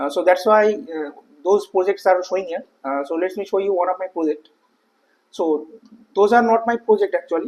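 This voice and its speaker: The speaker is a man with a high pitch for a man. His pitch variation is ordinary. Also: moderate pace. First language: not English. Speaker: software tutorial creator. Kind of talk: tutorial. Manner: hesitant, many filler uhs.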